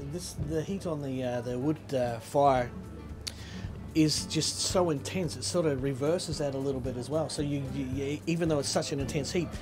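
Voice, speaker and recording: A man's voice with ordinary pitch variation over clear background music. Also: moderate pace. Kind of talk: interview answer. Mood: enthusiastic and friendly. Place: cafe.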